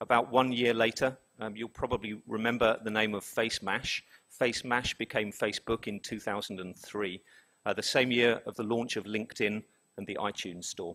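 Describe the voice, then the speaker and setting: In a London accent, a man with medium pitch talks at a fairly quick pace in a monotone, flat intonation, his bright, sharp tone captured on a very clean recording with a silent background and a dry, close sound with no echo. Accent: British, London. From London, England. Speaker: business executive presenting survey results. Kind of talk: conference presentation.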